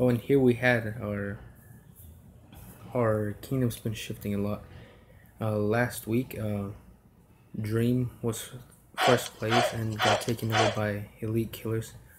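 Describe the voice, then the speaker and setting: Delivery is very slow. Long pauses come often. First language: Spanish. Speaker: mobile game streamer. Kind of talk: live game stream commentary. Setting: home room, solo live stream. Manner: halting with many fillers.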